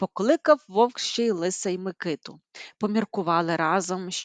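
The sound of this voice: Here is an unforced reading voice with ordinary pitch variation. The background is quiet.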